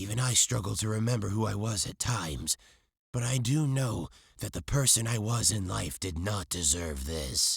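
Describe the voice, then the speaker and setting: A man does a raspy put-on character voice at a fairly low pitch, speaking at a moderate pace. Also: very clean recording, silent background. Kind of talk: read story. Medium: read story.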